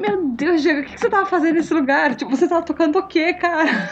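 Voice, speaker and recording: A woman speaks over noticeable background noise. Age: 40s. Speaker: podcast host. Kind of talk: reading listener comments.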